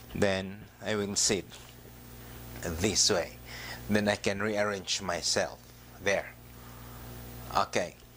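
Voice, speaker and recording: A man speaks with vocal fry at a fairly low pitch, very slowly, with long, frequent pauses. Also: ordinary pitch variation. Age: 60s. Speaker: stroke survivor, exercise tutorial creator. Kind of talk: tutorial. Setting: outdoors. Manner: hesitant, many filler sounds.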